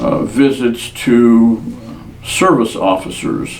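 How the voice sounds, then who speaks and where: A man with an American accent speaks at a very slow pace and medium pitch. Room echo is audible. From US Pacific Northwest (Washington state). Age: 70s. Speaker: war veteran. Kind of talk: oral history interview.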